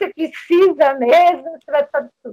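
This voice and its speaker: A woman talks fairly slowly, her voice dry and close with no echo at all. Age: 60s. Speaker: retired physician. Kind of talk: interview panel discussion. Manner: halting.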